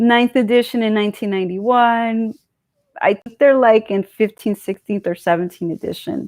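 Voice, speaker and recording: A woman with a Californian accent at a moderate pace, with ordinary pitch variation. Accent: California English. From California, US. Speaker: political commentary streamer. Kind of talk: live stream monologue. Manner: casual, digressive with fillers.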